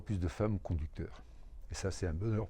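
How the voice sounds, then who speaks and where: In a very deep, low pitch, the man sounds somewhat breathy, with a dark, mellow tone. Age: 70s. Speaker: retired truck driver, temp worker. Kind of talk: interview testimony.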